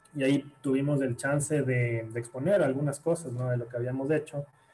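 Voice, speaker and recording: With music playing in the background, a man speaks fairly quickly. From Ecuador, Guayaquil. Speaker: psychologist. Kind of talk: interview. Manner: halting, many repeated words.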